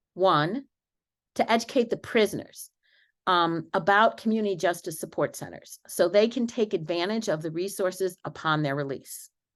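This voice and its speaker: Over a quiet background, a woman uses a plain, everyday voice with lively intonation at a moderate pace. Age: 60s. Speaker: law professor, panelist. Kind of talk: conference panel talk.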